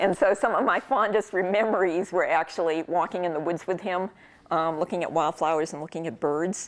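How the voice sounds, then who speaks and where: A woman with a New England accent talks at a fairly quick pace. Her voice is fairly low, with ordinary pitch variation. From New England, Worcester, Massachusetts. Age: 60s. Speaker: professor. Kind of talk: casual talk to an audience. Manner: many filler ums, conversational.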